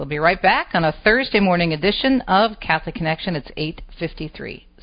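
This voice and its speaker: With an American accent, a woman speaks at a fairly quick pace. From Detroit East Side, Michigan. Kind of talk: talk radio interview.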